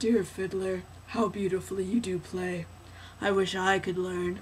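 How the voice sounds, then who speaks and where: A woman's put-on character voice at a moderate pace, medium in pitch, with monotone, flat intonation over clear background noise. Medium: read story. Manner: eager, flattering.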